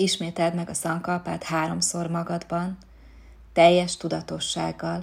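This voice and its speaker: A woman speaks at a very slow pace in a calm, soothing tone. The recording is very clean, with a silent background. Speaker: yoga nidra instructor. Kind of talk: guided meditation (yoga nidra). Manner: slow, calm, soothing, with long pauses; soft-spoken, gentle, instructive.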